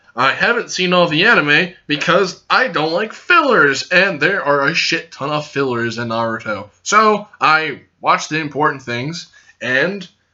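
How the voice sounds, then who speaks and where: A loud man with a high pitch speaks with lively intonation. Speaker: youtuber, anime reviewer. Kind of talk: casual video review. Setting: recording to camera. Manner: hyper and loud.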